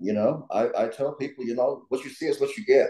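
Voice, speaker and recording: Dark and mellow in tone, a man talks with a Southern US accent. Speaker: political candidate. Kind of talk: panel talk. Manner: halting, many fillers and repetitions.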